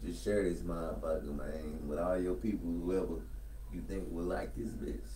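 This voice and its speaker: The recording carries audible room echo and light background noise. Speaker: podcast host. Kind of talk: casual chat. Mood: relaxed, profane, casual. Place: home room.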